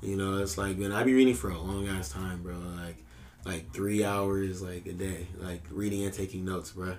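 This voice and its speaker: Audible room echo surrounds a man with a very deep, low pitch. He talks at a moderate pace with fairly even intonation. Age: 20s. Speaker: podcast host. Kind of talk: casual chat.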